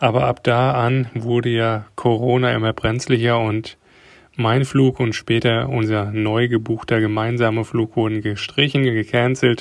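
The delivery is fairly slow, with very even loudness. The intonation stays monotone and flat. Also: man, medium pitch for a man. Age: 30s. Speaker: car designer and father. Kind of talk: recorded voice message answers. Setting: voice message.

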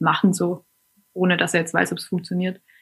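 The pace is fairly quick. There is a somewhat breathy quality to the voice. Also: woman. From Hohenlohe, southwest Germany. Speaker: schnapps distillery co-founder. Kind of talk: casual interview. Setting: remote call.

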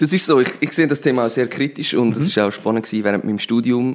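A man talks at a very fast pace with vocal fry. His pitch varies in an ordinary way. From Switzerland, Zurich Oberland. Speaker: political candidate. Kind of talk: interview.

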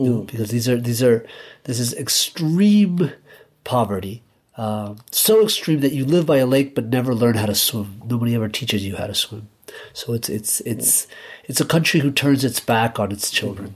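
Someone with an American accent speaks at a moderate pace in a somewhat breathy voice, with ordinary pitch variation and big swings in loudness. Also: man, medium pitch for a man. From Guatemala, then the US from age 10. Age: 40s. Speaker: novelist. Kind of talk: interview. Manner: halting, many repeated words.

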